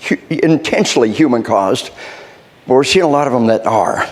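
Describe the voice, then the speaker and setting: A man talks at a fairly quick pace with an American accent. Noticeable background noise runs under his voice. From US South (Arkansas). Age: 60s. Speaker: military trainer and speaker. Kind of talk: workshop lecture. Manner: animated.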